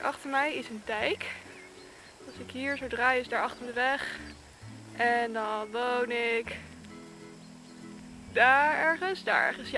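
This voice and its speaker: A woman's high voice at a very slow pace with long, frequent pauses, ordinary pitch variation and big swings in loudness, dry with no echo, over clear background music. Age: young. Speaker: equestrian vlogger. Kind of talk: casual talk to camera. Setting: outdoors. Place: open country. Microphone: earbuds.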